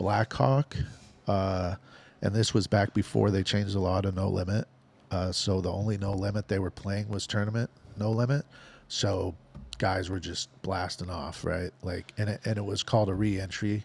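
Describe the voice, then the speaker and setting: A man with an American accent speaks at a moderate pace in a fairly low pitch. His voice is somewhat breathy, and his intonation is monotone and flat. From Nebraska. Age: 50s. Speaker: professional gambler. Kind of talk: casual chat.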